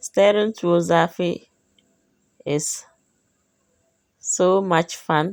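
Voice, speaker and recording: A woman with a Ghanaian accent and a fairly low pitch speaks at a very slow pace with long, frequent pauses and fairly even intonation, in a dry, close sound with no echo and a very clean recording with a silent background. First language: Dagbani. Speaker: cooking vlogger. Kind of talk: cooking tutorial.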